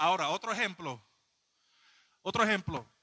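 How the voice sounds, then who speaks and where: The voice is raised and projected, with a bright, sharp tone and a dry, close sound with no echo. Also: man. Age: 20s. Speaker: lay preacher. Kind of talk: sermon. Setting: church.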